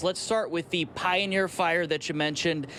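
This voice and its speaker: A man speaks at a high pitch. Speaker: TV news reporter. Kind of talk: TV news field report.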